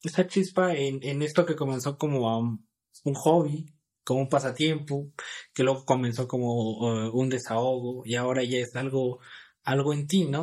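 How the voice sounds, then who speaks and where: A fairly slow man's voice, fairly high in pitch with ordinary variation, on a very clean recording with a silent background. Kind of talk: casual interview.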